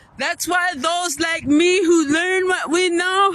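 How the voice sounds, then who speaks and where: With an American accent, a woman speaks very slowly in a raised, projected voice at an extremely high pitch. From Yakama reservation, Toppenish, Washington. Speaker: vlogger. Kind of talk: testimony. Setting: outdoors by a river. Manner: forceful.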